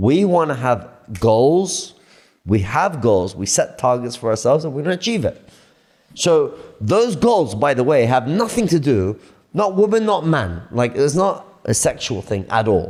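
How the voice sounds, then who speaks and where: Animated and fairly slow, a man with a fairly high pitch and vocal fry swings his pitch very widely. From Australia. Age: 30s. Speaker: entrepreneur and content creator. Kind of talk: casual podcast chat.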